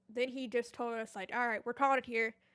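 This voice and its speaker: A woman's fairly high, bright, sharp voice in a very clean recording over a silent background. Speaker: gaming streamer. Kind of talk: story time monologue. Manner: casual, rambling with fillers.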